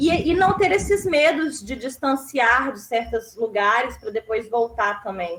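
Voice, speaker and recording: This woman has a high-pitched voice and speaks at a fairly slow pace. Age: 30s. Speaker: panel moderator. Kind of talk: panel discussion.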